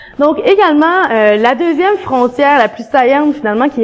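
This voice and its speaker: A woman's high-pitched voice in a Quebec accent at a moderate pace. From eastern Quebec, rural village. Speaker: graduate student researcher. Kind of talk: academic conference talk. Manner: conversational, hesitant with fillers.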